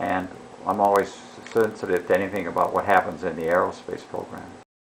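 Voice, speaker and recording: A man's fairly even intonation comes through noticeable background noise as he talks at a moderate pace. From US Midwest, Chicago. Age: 80s+. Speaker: retiree interviewed by daughter. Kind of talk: family interview.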